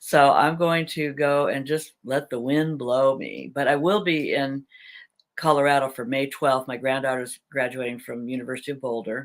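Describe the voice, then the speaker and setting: A woman with an American accent speaks at a moderate pace in a very deep, low pitch, with fairly even intonation. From Southern California. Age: 70s. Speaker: vlogger. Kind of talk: live chat. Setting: live video chat. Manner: casual, chatty.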